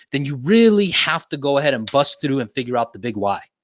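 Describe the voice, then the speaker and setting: A fairly quick man with lively intonation. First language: Japanese. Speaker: sales and real estate trainer. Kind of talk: live online training.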